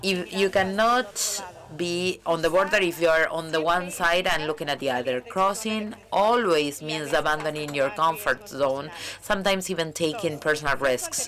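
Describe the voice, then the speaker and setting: Noticeable noise fills the background while a woman, pitched fairly low, talks at a moderate speed and varies her pitch in an ordinary way. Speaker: museum director. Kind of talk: conference talk.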